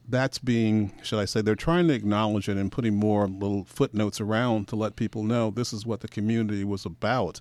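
In a plain, everyday voice with an American accent, a man speaks fairly quickly at a fairly low pitch, with fairly even intonation and hardly any pauses, on a very clean recording with a silent background. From Portland, Oregon. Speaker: filmmaker and historian. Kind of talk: radio interview. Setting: radio studio.

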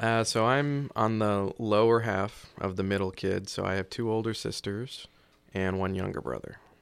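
Heard in a very clean recording with a silent background, an ordinary speaking voice with an American accent moves at a moderate pace with fairly even intonation. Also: man, fairly low pitch for a man. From South Carolina, near Charleston. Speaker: emergency management coordinator and military reservist. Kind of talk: interview conversation. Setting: studio.

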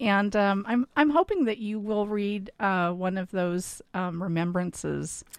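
A woman talks fairly slowly in an ordinary speaking voice. She speaks with hardly any pauses. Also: medium pitch for a woman, ordinary pitch variation, very clean recording, silent background. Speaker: radio host. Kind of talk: interview conversation.

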